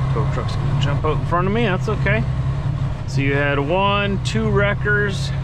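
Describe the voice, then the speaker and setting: Loud background noise accompanies a man speaking at a moderate pace, his voice dry with no echo. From Manitoba, Canada. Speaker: truck driver vlogger. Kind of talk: casual vlog narration. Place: car. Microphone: phone near.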